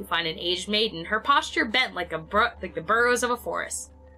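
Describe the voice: What you hear is plain reading aloud.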